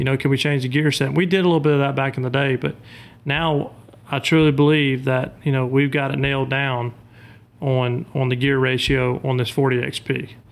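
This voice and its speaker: A man with a Louisiana accent speaks in a monotone, flat intonation. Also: medium pitch for a man, fairly quick pace. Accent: Southern US (Louisiana). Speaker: boat motor salesman and duck hunter. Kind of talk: casual chat.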